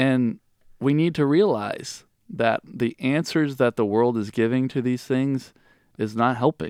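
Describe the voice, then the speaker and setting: Recorded very cleanly against a silent background, a man speaks fairly slowly at a medium pitch with ordinary pitch variation. The sound is dry and close with no echo. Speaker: pastor and podcast host. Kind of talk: casual discussion of a sermon. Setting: studio podcast.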